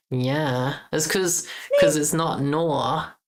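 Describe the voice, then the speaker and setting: Audible room echo surrounds a woman speaking with a slight Australian accent. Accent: mild Australian. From Australia, Queensland. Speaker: game developer streamer. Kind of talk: casual live stream chat.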